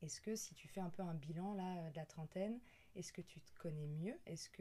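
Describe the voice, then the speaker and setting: This woman's voice is somewhat breathy and fairly low, with a dark, mellow tone, fairly even intonation and a moderate pace. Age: 30s. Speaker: podcast host. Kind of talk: casual interview. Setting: indoors at home.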